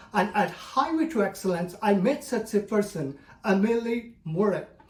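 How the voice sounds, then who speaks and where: Over noticeable background noise, a man with a high voice speaks at a moderate pace with lively intonation and very even loudness. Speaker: storyteller, club speaker. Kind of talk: personal story speech.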